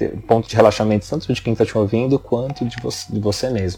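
The speaker is a man with a dark, mellow tone. He sounds somewhat breathy, and his pitch varies in an ordinary way. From São Paulo, Brazil. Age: 30s. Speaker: marketing and video professional. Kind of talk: interview.

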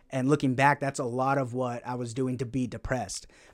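A man with an unremarkable speaking voice talks at a fairly quick pace in medium pitch, on a very clean recording with a silent background. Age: 20s. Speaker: stand-up comedian and anthropology student. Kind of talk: casual podcast interview.

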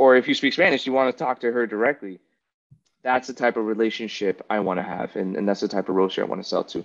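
With an American accent, a man speaks very fast with ordinary pitch variation, and the sound is dry and close with no echo. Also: medium pitch for a man. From South Florida, Miami. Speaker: aspiring coffee farmer, former Marine. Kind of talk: casual chat.

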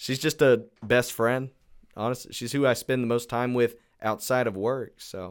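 Over a very clean recording with a silent background, a man with a plain, everyday voice speaks at a medium pitch, a moderate pace and fairly even intonation. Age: 20s. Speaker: podcast guest. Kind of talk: casual chat.

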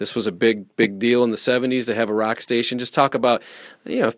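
A man talks at a fairly quick pace in a medium pitch. He has a plain, everyday voice. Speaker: podcast host. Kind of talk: casual interview.

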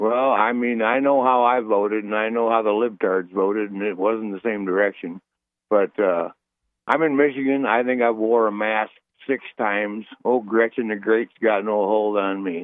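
At a moderate pace, a man with a normal speaking voice talks at a fairly low pitch with fairly even intonation. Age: 60s. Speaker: caller. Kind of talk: casual chat.

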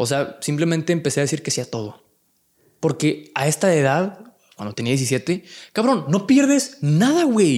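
On a very clean recording with a silent background, a man speaks fairly slowly at a fairly high pitch with very wide pitch swings. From Monterrey, Mexico. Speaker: content creator. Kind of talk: casual chat. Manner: calm, relaxed.

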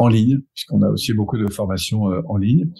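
A man's fairly low, dark, mellow voice, somewhat breathy, with ordinary pitch variation. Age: 50s. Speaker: personal development coach and trainer. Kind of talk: casual interview.

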